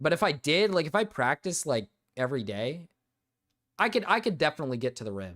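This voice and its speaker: The recording is very clean and the background silent. A man talks in a fairly high voice. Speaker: streamer. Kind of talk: live stream commentary. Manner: casual, rambling with repetitions.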